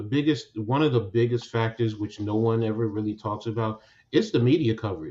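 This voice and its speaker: This man has an American accent and speaks at a fairly quick pace, somewhat breathy. His pitch is medium with ordinary variation. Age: old. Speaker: basketball podcast host. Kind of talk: casual chat.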